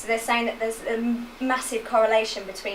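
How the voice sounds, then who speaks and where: A woman with an English accent at a fairly high pitch, amid noticeable background noise and audible room echo. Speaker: physiotherapist. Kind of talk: lecture.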